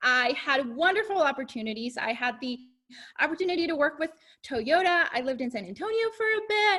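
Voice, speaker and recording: A woman's high, bright, sharp voice, raised and projected, at a fairly quick pace with very wide pitch swings. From Mexico (Chihuahua), moved to Arkansas at twelve. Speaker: cosmetics sales director. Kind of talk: testimony.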